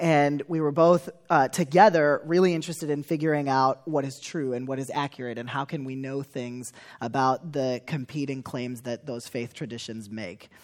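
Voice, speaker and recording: Speaking in an American accent, a man keeps a moderate pace and a fairly high pitch with ordinary pitch variation. The recording is very clean with a silent background. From US Midwest, Chicago suburbs. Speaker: church leader. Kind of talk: testimony.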